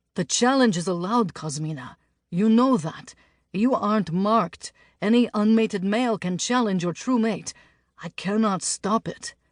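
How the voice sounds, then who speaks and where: A woman's gruff, put-on character voice at medium pitch, moderate pace, over a quiet background. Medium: read story. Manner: dry, gruff.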